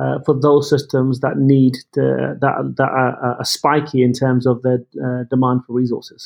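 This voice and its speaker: Over music in the background, a man in an English accent speaks at a moderate pace and medium pitch with monotone, flat intonation. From England. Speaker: tech executive. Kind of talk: interview. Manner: hesitant, repeats words.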